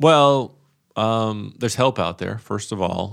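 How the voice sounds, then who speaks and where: The recording is very clean with a silent background. A man speaks in a normal speaking voice with ordinary pitch variation. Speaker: acupuncturist. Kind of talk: casual interview chat.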